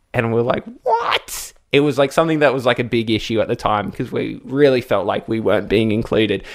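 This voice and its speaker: A man with an Australian accent speaks at a medium pitch with fairly even intonation. The recording is very clean, with a silent background. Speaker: radio presenter and podcast co-host. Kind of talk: casual chat, podcast recap.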